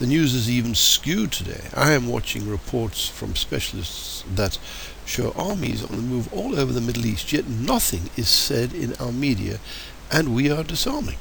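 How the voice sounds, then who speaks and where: A man in an English accent at a moderate pace, with noticeable background noise and audible room echo. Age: 70s. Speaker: political commentator. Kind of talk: political monologue. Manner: hesitant, many fillers.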